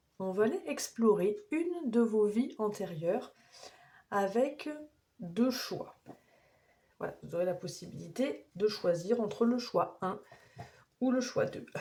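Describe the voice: A woman puts on a hoarse, raspy character voice at a medium pitch. She goes at a fairly slow pace with lively intonation.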